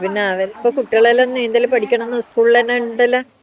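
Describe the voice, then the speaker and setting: Over noticeable background noise, a woman with a North Kerala accent speaks at a fairly high pitch. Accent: North Kerala (Kannur) Malayalam. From Kerala, India. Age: 60s. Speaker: dairy farmer and swimming teacher. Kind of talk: documentary interview answer.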